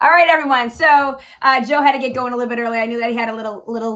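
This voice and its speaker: A woman speaks very fast in a Boston accent. Her pitch is fairly high, with ordinary pitch variation. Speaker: podcast host and comedian. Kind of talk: casual chat.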